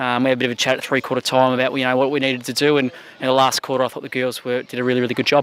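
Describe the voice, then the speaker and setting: Talking very fast, a man speaks at a medium pitch. His intonation is monotone and flat. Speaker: football coach. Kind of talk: post-match interview.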